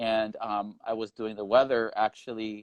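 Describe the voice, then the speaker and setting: The man talks at a fairly slow pace in a medium pitch. The sound is dry and close with no echo, against a quiet background. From New York City, Queens. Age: 30s. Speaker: single man on a marriage show. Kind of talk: interview.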